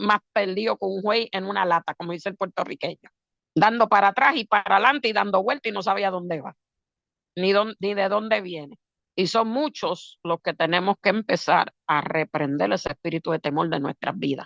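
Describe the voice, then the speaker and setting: In an ordinary speaking voice, a woman talks at a fairly quick pace in a medium pitch with lively intonation, against a quiet background and with a dry, close sound with no echo. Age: 60s. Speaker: preacher. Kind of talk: sermon.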